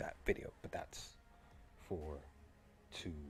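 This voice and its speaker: Somewhat breathy, a man with a very deep, low pitch talks at a fairly quick pace. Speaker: streamer discussing and reading a novel. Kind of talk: casual live stream chat. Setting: live stream.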